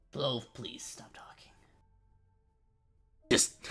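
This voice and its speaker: A man whispers in a put-on character voice. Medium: actual play.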